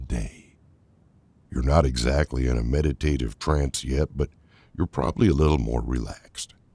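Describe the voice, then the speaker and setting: A man with a very deep, low voice, somewhat breathy and dark and mellow in tone. He sounds calm and soothing, recorded dry and close with no echo. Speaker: voice-over artist. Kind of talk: guided meditation narration. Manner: calm, slow, soothing.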